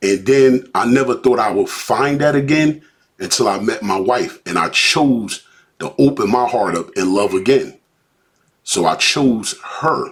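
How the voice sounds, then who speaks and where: An American accent from a man with an unremarkable speaking voice, ordinary pitch variation and a fairly slow pace. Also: medium pitch for a man. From Newark, New Jersey. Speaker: podcast co-host. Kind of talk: personal testimony in casual podcast chat.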